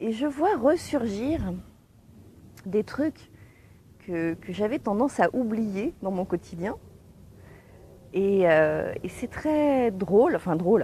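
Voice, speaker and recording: A somewhat breathy woman's fairly high voice with a dark, mellow tone, very wide pitch swings, a very slow pace, and long, frequent pauses. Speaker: online coach on giftedness. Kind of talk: casual talk to camera, livestream. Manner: hesitant, many fillers.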